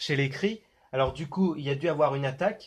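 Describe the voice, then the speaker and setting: Ordinary pitch variation from a man with a fairly high pitch, over a quiet background. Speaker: YouTuber analyzing film trailers. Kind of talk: casual video commentary. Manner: hesitant, many fillers.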